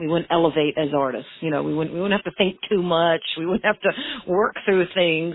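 A woman with an American accent, an ordinary speaking voice at a fairly low pitch, ordinary pitch variation, a moderate pace and hardly any pauses. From Maine, US. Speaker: permanent makeup artist and business owner. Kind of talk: interview.

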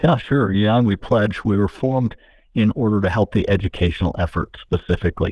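At a very fast pace, a man with an American accent speaks at a fairly low pitch with ordinary pitch variation and very even loudness. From Utah, St. George. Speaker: nonprofit founder and former educator. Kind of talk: radio interview. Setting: phone call.

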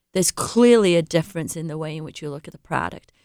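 A woman with an English accent, lively intonation, and a dry, close sound with no echo. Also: very clean recording, silent background. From England. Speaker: sales representative for a countertop manufacturer. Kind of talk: radio interview.

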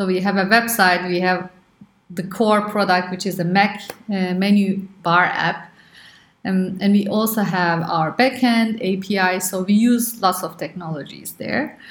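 Audible room echo surrounds a woman talking at a fairly slow pace and medium pitch, her intonation fairly even. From Turkey. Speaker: startup co-founder and engineer. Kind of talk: interview.

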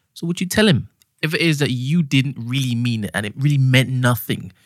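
Speaking with a Trinidadian accent, a man uses a medium pitch and lively intonation at a moderate pace. The recording sounds dry and close, with no echo. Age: 40s. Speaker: sound engineer. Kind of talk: casual chat. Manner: smooth.

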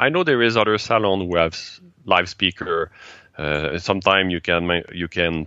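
This man talks fairly slowly in a very deep, low pitch, with lively intonation. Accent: Quebec French. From Quebec. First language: French. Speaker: TEDx organizer and speaking coach. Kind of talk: interview. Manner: halting.

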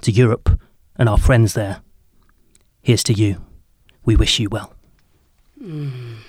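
Long, frequent pauses break up a man's fairly slow, somewhat breathy speech, delivered at a medium pitch with ordinary pitch variation. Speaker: poet. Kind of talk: casual chat with poetry readings.

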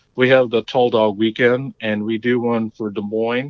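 With an American accent, the speaker uses a normal speaking voice at a moderate pace with fairly even intonation. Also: man. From Long Island, New York. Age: 40s. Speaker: cycling team member. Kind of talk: casual chat.

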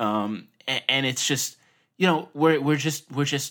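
The speech is fairly quick, with a New York accent, in a very clean recording with a silent background. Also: man. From Long Island, New York. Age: 30s. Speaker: designer and hand letterer. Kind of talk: interview, casual conversation.

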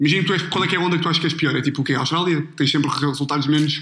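With noticeable background noise, a man talks very fast at a fairly high pitch. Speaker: podcast host. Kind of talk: casual chat. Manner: animated, laughing.

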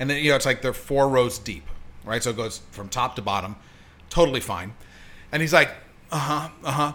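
Speaking fairly quickly with long, frequent pauses, a man with an American accent has a medium pitch, ordinary pitch variation and a bright, sharp tone. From Hollywood, California. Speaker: producer and author. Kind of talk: casual chat. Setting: home studio.

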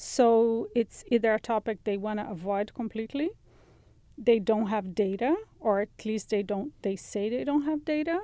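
With a Brazilian accent, the speaker keeps a moderate pace and lively intonation. The tone is dark and mellow. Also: woman, fairly high pitch for a woman. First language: Portuguese. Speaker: journalist and writer. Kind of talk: interview.

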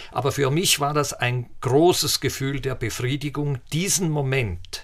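A man with a normal speaking voice, medium pitch, ordinary pitch variation and a fairly slow pace, in a very clean recording with a silent background. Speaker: physicist and space expert. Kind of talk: interview.

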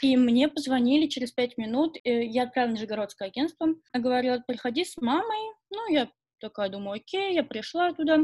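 A high-pitched woman's voice with lively intonation at a fairly quick pace, dry and close with no echo. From Russia, Nizhny Novgorod. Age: 20s. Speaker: fashion model. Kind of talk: casual interview. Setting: video call.

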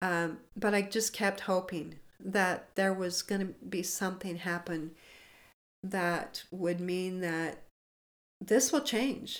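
A woman's medium-pitched voice with an American accent, at a very slow pace with long, frequent pauses. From US West, Montana. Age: 60s. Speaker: addiction recovery speaker and nonprofit founder. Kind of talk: interview testimony.

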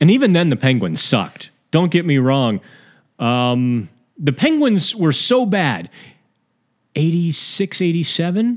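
Speaking in an American accent at a fairly slow pace, this voice has very wide pitch swings, very even loudness, and long, frequent pauses. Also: man, fairly high pitch for a man, very clean recording, silent background. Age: 40s. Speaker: hockey podcast host. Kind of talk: casual solo podcast commentary. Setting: studio. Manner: frequent fillers and repetitions.

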